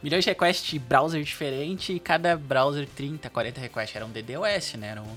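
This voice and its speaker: Over music in the background, a man speaks at a moderate pace with hardly any pauses. His fairly high voice has lively intonation and big swings in loudness. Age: 20s. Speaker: front-end architect. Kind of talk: casual tech interview.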